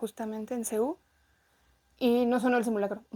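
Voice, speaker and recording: A woman speaks at a fairly high pitch. Her pace is moderate. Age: 20s. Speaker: veterinarian. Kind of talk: interview testimony.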